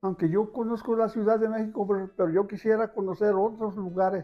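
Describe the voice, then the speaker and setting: A man with a Jalisco accent speaks in a high voice for a man, with music playing in the background. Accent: Mexican Spanish, Jalisco. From Ajijic, Jalisco, Mexico. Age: 70s. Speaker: bread vendor, former gardener. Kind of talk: interview answer.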